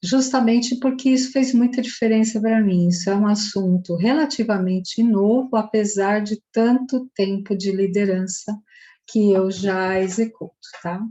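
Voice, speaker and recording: A woman speaks at a fairly slow pace with a fairly high pitch. Her voice is somewhat breathy, with ordinary pitch variation. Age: 60s. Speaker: psychologist and social entrepreneur. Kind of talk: festival talk.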